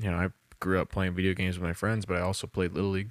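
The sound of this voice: This man talks at a fairly quick pace in a low voice that shows little pitch movement.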